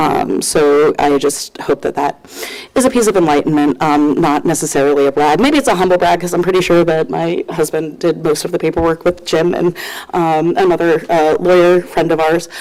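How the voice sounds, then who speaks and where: With an American accent, a woman with a fairly low pitch talks at a moderate pace, her loudness very even and her pitch variation ordinary, over noticeable background noise. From New Jersey, Paramus. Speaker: public commenter, youth sports coach. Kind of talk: public comment at council meeting. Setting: council meeting, at microphone.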